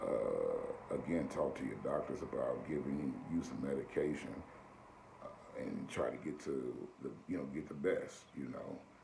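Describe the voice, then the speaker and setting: A man talks with an American accent. There is audible room echo and noticeable background noise. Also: moderate pace. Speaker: video blogger. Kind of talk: casual advice monologue.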